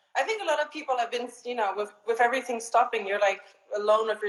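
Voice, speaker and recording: Over noticeable background noise, a woman is speaking. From Switzerland. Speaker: actress and model. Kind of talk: casual chat.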